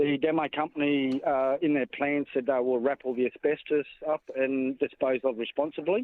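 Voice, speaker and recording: Hardly any pauses break up this man's speech. His pitch is fairly high, his intonation fairly even, and his loudness very even. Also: moderate pace. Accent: Australian. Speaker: caller, homeowner. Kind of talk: phone-in call. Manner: halting.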